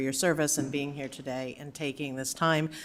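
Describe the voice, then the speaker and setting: A woman's flat, monotone delivery at a fairly quick pace. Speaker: appellant resident speaking at council. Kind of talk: public comment at council meeting. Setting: city council chamber.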